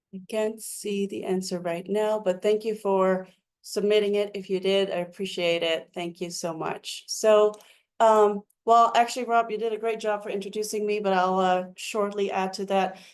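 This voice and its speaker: A woman talks in a Dutch accent at a medium pitch. Her intonation is monotone and flat, and her pace is moderate. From Netherlands. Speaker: mental health counselor. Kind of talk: webinar presentation. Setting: online webinar.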